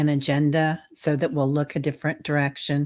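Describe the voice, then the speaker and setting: A woman with a Midwestern accent at a moderate pace. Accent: Midwestern twang. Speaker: intuitive spiritual guide. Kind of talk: casual chat. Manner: hesitant, many fillers.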